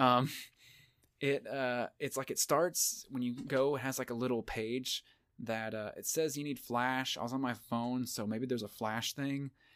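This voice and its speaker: On a very clean recording with a silent background, a man with a Southern US accent speaks slowly-ish at medium pitch with fairly even intonation. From Tennessee. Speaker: podcast co-host. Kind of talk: casual chat.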